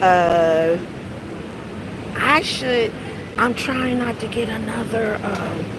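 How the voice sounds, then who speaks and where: A woman speaks very slowly with lively intonation, her voice carrying audible room echo over noticeable background noise. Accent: American. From US South. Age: 40s. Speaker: live streamer. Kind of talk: casual live stream chat. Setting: walking outdoors while streaming. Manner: halting, many fillers.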